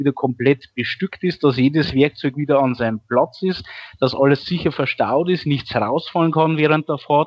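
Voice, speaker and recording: Here a man has a plain, everyday voice, pitched fairly high. His pace is moderate and his intonation fairly even. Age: 30s. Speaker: volunteer firefighter. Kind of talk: interview.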